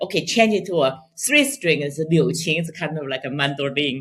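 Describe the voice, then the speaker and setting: Somewhat breathy, a woman with fairly low pitch and a Chinese accent speaks with very wide pitch swings. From China. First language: Mandarin Chinese. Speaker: pipa player and composer. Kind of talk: interview conversation.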